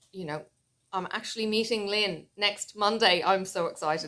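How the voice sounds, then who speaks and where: In an Irish accent, a woman talks at a moderate pace. Her pitch varies in an ordinary way. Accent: Irish, noticeable. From Ireland. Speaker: flosstube crafter (cross-stitch YouTuber). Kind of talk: casual vlog chat.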